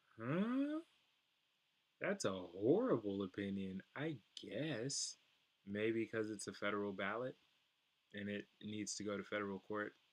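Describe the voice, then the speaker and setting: In an American accent, a man with a fairly low pitch speaks at a fairly slow pace. He leaves long, frequent pauses and uses ordinary pitch variation. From US West Coast, Oakland, California. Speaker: presidential candidate. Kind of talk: livestream Q&A and commentary. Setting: livestream. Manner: casual, filler-heavy.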